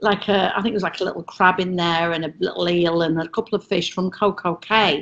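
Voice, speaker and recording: Someone with an English accent speaks at a moderate pace. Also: woman. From England. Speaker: former cruise ship entertainer. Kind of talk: casual chat. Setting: video call.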